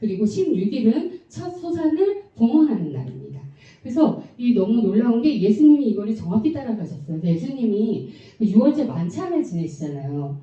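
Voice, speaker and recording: A woman with a fairly high pitch and vocal fry speaks at a moderate pace, her pitch swinging very widely, with audible room echo around her. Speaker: Bible prophecy teacher. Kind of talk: Bible lecture.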